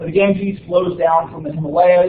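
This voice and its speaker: A man's voice comes through with audible room echo and noticeable background noise. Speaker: university lecturer. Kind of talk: lecture. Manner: many filler words (uh, um).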